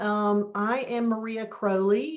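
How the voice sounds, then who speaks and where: A woman with a Southern US accent. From US South. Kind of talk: webinar presentation.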